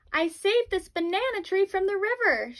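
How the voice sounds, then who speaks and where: A woman's squeaky put-on character voice, extremely high-pitched, with lively intonation at a fairly quick pace, in a dry, close sound with no echo. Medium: read story. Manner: calm, reasonable.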